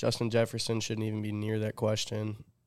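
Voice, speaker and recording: A man talks very fast at a fairly low pitch on a very clean recording with a silent background. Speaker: sports podcast host. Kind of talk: casual chat.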